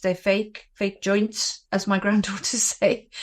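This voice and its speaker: A medium-pitched woman in a British accent with monotone, flat intonation, a very clean recording with a silent background. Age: 60s. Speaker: anti-bullying advocate. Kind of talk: interview testimony.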